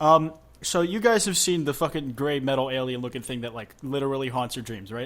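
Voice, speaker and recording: A man with an unremarkable speaking voice and medium pitch talks at a fairly quick pace, his pitch variation ordinary and his loudness swinging widely. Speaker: podcast host. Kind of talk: casual chat.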